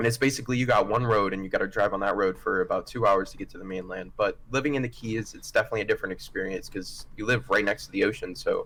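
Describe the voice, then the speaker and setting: A man with an American accent speaks very fast, with hardly any pauses. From US South, Florida (Key West). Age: 18. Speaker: game developer. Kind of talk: interview.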